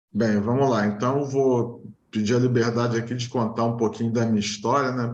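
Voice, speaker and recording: A man speaks in a Rio de Janeiro accent with ordinary pitch variation. Room echo is audible. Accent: carioca. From Rio de Janeiro, Brazil. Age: 40s. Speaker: engineer, client interviewee. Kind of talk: interview testimony.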